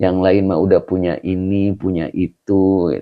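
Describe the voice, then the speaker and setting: This is a put-on character voice, soft-spoken and whiny. It moves at a fairly slow pace with monotone, flat intonation. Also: man, very deep, low pitch for a man. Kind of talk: colloquial Indonesian. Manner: complaining, grumbling.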